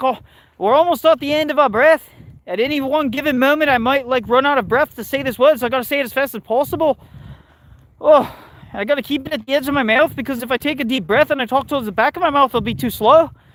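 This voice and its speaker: A man puts on a nasal character voice at an extremely high pitch. He delivers it at a very fast pace. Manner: rushed, breathless, nasal.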